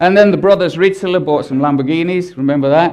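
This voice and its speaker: A man speaks with a British accent. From Britain. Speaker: advertising strategist. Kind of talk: conference talk.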